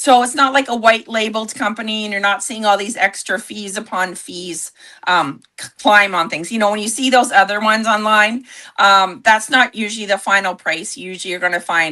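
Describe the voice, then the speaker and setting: A woman speaks at a fairly quick pace with fairly high pitch, ordinary pitch variation and a bright, sharp tone. Her loudness swings widely over a quiet background. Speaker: network marketing entrepreneur. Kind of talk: livestream sales pitch. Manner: animated.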